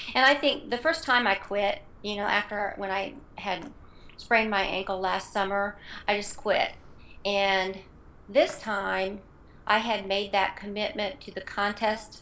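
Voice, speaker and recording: The woman speaks at a fairly slow pace with long, frequent pauses. Her medium pitch shows ordinary pitch variation. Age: 50s. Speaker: fitness contest participant. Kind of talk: interview.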